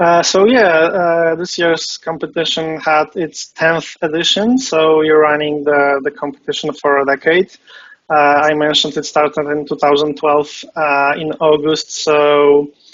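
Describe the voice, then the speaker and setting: Speaking with a Polish accent, a man uses a fairly high pitch and ordinary pitch variation. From Poland. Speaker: game competition founder, web developer. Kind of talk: interview. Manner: hesitant, many fillers.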